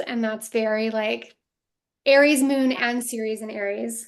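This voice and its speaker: Monotone, flat intonation marks this woman's fairly high voice. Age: 40s. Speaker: astrology podcast host. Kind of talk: casual chat.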